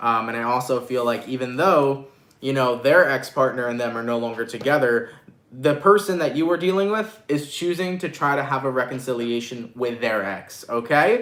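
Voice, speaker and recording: A man's animated, medium-pitched voice at a moderate pace, with lively intonation and noticeable background noise. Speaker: tarot reader. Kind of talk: live-stream tarot reading. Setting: live stream with chat. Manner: stutters at times; casual, animated.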